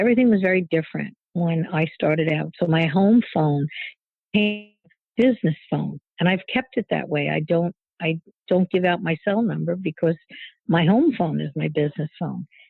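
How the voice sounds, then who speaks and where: A woman's fairly low voice at a moderate pace, with ordinary pitch variation and music in the background. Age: 70s. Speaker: psychic medium and teacher. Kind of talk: podcast interview.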